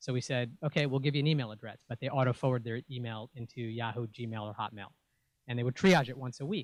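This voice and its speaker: At a very fast pace, this speaker talks with a New York accent and ordinary pitch variation. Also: man. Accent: New York American. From New York City (Bronx and Queens). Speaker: venture capitalist. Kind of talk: pitch talk. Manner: many fillers, uh and um.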